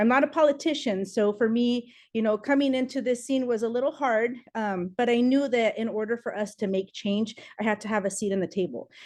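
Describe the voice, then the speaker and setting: A woman speaks at a fairly high pitch with a Spanish accent. Her pace is fairly quick, and the background is quiet. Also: ordinary pitch variation. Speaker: political candidate. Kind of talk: campaign speech.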